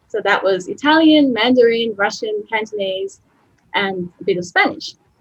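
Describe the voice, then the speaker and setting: With an Australian accent, a woman speaks in a fairly high pitch, her intonation lively. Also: moderate pace. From Australia, Melbourne. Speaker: translator and academic editor. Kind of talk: webinar lecture. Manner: talkative.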